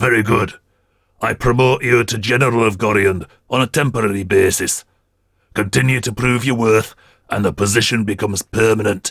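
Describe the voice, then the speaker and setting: A raspy, put-on character voice moves at a moderate pace. Its intonation stays fairly even. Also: man, medium pitch for a man. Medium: read story. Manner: commanding, measured, formal.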